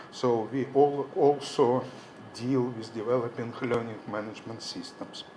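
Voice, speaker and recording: Someone with a Russian accent speaks at a fairly slow pace. The recording carries audible room echo and noticeable background noise. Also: man. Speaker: professor. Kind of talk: conference presentation. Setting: conference hall.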